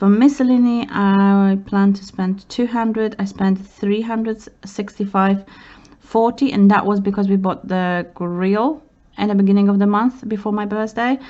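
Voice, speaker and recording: A woman talks at a moderate pace in an unremarkable speaking voice, her medium pitch holding fairly even intonation. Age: 30s. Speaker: budgeting vlogger. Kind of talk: casual talk to camera. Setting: home, city traffic noise in background.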